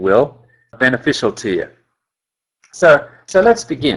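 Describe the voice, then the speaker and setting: Speaking at a fairly quick pace, a man with an Australian accent shows vocal fry. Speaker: company scientist. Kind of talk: webinar presentation. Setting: webinar call.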